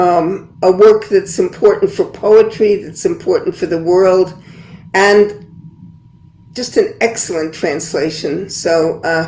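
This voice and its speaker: A woman's medium-pitched voice with an American accent, at a very slow pace. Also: ordinary pitch variation. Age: 80s+. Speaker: poet and translator. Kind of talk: panel discussion.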